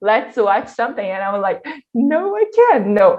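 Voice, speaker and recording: Speaking in a Brazilian Portuguese accent, a woman has a fairly high pitch. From Brazil, Minas Gerais. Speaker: workshop leader. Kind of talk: online workshop talk. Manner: halting.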